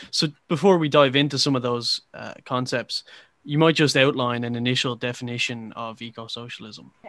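Big swings in loudness mark a man's unremarkable speaking voice, delivered at a moderate pace with fairly even intonation. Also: medium pitch for a man. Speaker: podcast host. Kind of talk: interview discussion.

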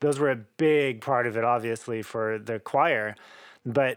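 In an American accent, an unremarkable speaking voice moves at a fairly slow pace with fairly even intonation, on a very clean recording with a silent background. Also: man. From Oklahoma, US. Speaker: cellist and composer. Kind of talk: interview conversation.

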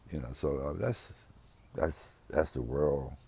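Vocal fry runs through a dark, mellow tone delivered at a very slow pace with fairly even intonation. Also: man. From US South, rural South Carolina. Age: 60s. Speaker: podcast host. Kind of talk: personal monologue. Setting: outdoors on his porch. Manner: reflective, hesitant with fillers.

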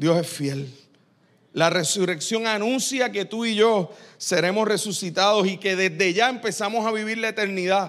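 A man talks at a high pitch. His pitch varies in an ordinary way. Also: moderate pace. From Puerto Rico. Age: 40s. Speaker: pastor. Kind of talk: sermon.

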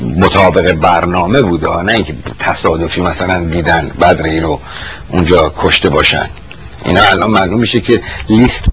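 The speech moves at a fairly quick pace with ordinary pitch variation. Noticeable background noise runs underneath. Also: man, very deep, low pitch for a man. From Iran, Tehran. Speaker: retired army officer. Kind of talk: oral history interview. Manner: halting.

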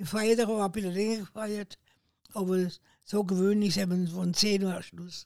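A woman's medium-pitched voice at a moderate pace, in a monotone with flat intonation. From southern Thuringia, Milz. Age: 80s+. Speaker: retired farmer, eyewitness. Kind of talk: oral history interview. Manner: halting.

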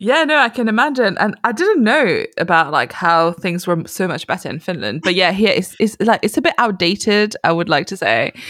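Her pitch swings very widely as the woman talks at a moderate pace. She hardly pauses at all. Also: medium pitch for a woman. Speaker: podcast host. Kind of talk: casual interview chat.

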